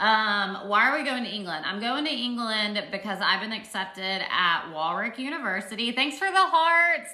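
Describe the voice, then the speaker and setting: Speaking in a Southern US accent, a woman with a fairly high pitch makes very wide pitch swings while the room echo is audible. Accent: Southern drawl. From Arkansas, US South. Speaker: social media livestreamer, PhD student. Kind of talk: casual livestream Q&A. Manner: animated.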